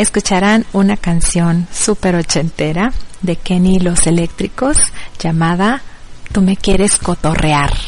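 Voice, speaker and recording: A woman at medium pitch with ordinary variation, a fairly slow pace and very even loudness, against noticeable background noise. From Mexico. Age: 40s. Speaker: internet radio host. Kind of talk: radio show presenting.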